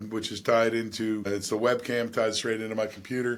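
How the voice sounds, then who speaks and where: A man speaking at a fairly quick pace. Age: 60s. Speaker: podcaster. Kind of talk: casual monologue. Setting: home studio. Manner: relaxed, many fillers.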